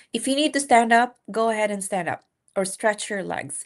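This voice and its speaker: Speaking at a fairly quick pace with a non-native accent, a woman uses a fairly high pitch and ordinary pitch variation against a quiet background. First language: not English. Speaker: nurse practitioner and exam-prep instructor. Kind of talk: live-stream lecture. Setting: live stream. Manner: conversational, with frequent fillers.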